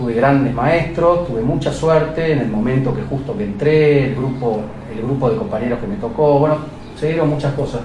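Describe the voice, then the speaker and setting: At a moderate pace and a fairly high pitch, a man speaks with ordinary pitch variation amid audible room echo and noticeable background noise. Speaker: plastic surgeon. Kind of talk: interview testimony.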